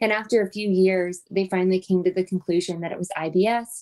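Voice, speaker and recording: A woman with an American accent, an ordinary speaking voice, medium pitch and a moderate pace. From US South. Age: 30s. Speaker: podcast host. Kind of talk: personal storytelling monologue. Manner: casual, filler-heavy.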